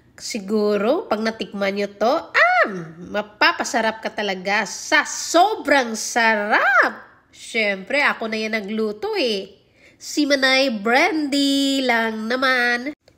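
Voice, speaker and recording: Her pitch fairly high, a woman speaks at a very slow pace. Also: lively intonation. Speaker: cooking vlogger. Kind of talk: cooking vlog. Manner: casual, chatty.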